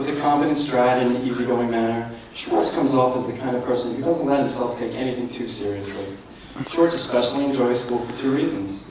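A man's medium-pitched voice at a fairly quick pace, with noticeable background noise and strong room echo. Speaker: best man; elementary school teacher. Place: hall. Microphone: handheld.

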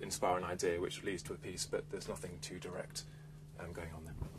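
The voice carries vocal fry. Noticeable background noise runs underneath. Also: man. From England, Hertfordshire; England. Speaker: composer. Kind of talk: interview monologue. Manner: hesitant, with fillers. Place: studio.

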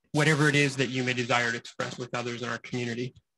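A man talks at a very fast pace with monotone, flat intonation. Noticeable noise runs in the background. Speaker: university staff representative; staff member giving a report. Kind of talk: prepared announcement. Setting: stage with audience, streamed on Zoom. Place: meeting room. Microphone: podium.

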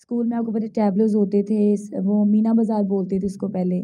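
A woman's fairly high, somewhat breathy voice with a dark, mellow tone, fairly even intonation and a fairly slow pace against a quiet background. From Pakistan. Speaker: stage actress and dancer; stage actress. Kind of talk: interview. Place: home room. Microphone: handheld.

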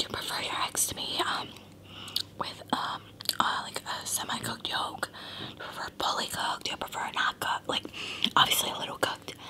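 A woman is whispering. She goes at a fairly quick pace. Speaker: eating vlogger. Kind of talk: casual vlog chat. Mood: cheerful, relaxed. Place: home room. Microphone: phone near.

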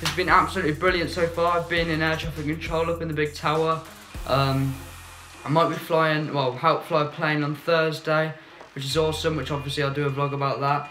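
Over music in the background, a man speaks fairly quickly with a monotone, flat intonation. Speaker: work experience student vlogger. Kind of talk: casual vlog chat. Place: home room. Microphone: phone near.

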